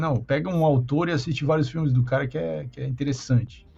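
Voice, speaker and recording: A man speaks at a fairly high pitch. His voice is somewhat breathy and his pace fairly quick. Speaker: podcast host. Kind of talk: casual chat.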